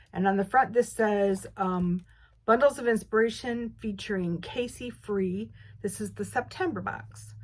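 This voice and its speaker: Somewhat breathy, the woman talks at a medium pitch. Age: 60s. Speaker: quilting video creator. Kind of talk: casual unboxing chat. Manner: halting, many fillers and restarts.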